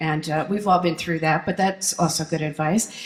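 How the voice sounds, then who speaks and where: Background noise is noticeable here. Through it, a woman talks. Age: 60s. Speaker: folk singer-songwriter. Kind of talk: keynote speech.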